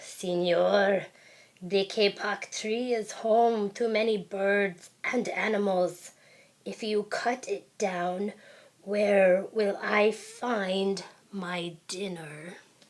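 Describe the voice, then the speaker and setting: A woman uses a put-on character voice with a growl at medium pitch. She talks at a very slow pace. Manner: growling, accusing.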